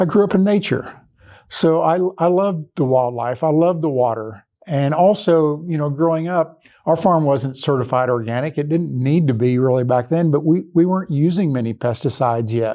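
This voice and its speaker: Speaking at a moderate pace with an American accent, a man with a fairly high-pitched, dark, mellow voice uses ordinary pitch variation against a quiet background. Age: 60s. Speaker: regenerative farmer. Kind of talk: interview conversation. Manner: halting, repeats words.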